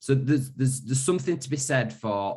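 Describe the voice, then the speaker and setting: A man speaks with a Yorkshire accent. His intonation is lively. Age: 30s. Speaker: wellbeing company founder. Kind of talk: webinar presentation. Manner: hesitant, many repetitions.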